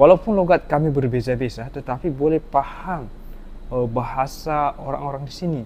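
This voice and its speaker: A man talks at a moderate pace in a fairly high pitch, with ordinary pitch variation. His tone is dark and mellow. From Indonesia. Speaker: reaction video host. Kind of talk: reaction commentary.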